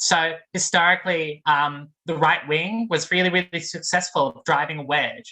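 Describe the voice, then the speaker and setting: A woman's fairly low voice with a bright, sharp tone, ordinary pitch variation and an Australian accent. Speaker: graduate student activist. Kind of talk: panel talk. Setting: video call. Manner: casual, many fillers.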